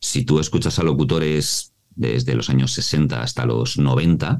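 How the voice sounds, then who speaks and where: Very deep and low, a man's voice carries vocal fry and a dark, mellow tone. His pitch swings very widely. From Mallorca, Spain. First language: Mallorquin Catalan (bilingual) (speaking Spanish). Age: 40s. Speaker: voice actor and voice coach. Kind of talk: interview.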